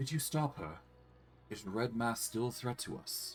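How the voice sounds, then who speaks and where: A man's shaky, put-on character voice at medium pitch, with clear music in the background. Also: moderate pace, ordinary pitch variation. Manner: anxious, worried.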